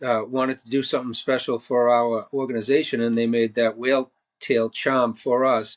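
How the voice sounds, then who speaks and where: A man with a Boston accent at a medium pitch and moderate pace, monotone, flat intonation, big swings in loudness, a dry, close sound with no echo, and a quiet background. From Boston, Massachusetts. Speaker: marine conservation nonprofit director. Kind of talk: podcast interview. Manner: halting, many fillers.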